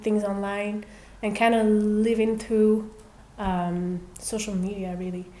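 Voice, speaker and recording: Speaking fairly slowly in a fairly high pitch, a woman keeps a monotone, flat intonation, and audible room echo surrounds her voice. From Belgium, Brussels. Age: 30s. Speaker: singer. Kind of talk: casual chat. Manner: calm.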